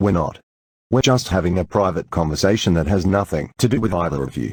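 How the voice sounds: In a cartoonish character voice, a man speaks low and fairly quickly with lively intonation. His tone is slightly mellow with a slightly husky edge. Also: dry, close sound with no echo.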